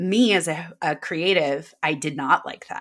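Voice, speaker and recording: Here a woman talks with an American accent. Her tone is bright and sharp. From Davis, near Sacramento, California. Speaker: wedding planner and coach. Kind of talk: interview conversation.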